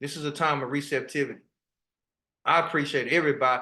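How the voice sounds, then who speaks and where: In an animated tone, a man speaks over a quiet background. His tone is bright and sharp. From Texas, South Dallas. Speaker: spiritual teacher. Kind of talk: online spiritual workshop talk. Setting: video call.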